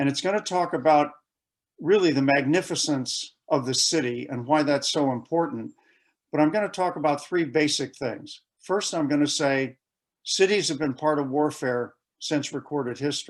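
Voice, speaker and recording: Spoken in an American accent, this is an unremarkable speaking voice at a moderate pace, with ordinary pitch variation and a quiet background. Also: man, fairly high pitch for a man. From United States. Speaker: conference presenter on military history. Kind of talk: conference presentation.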